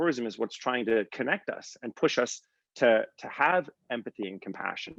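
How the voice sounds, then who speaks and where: The sound is dry and close, without any echo. A man talks. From US Northeast, Connecticut. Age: 40s. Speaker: tourism entrepreneur. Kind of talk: interview. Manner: hesitant, many fillers and restarts.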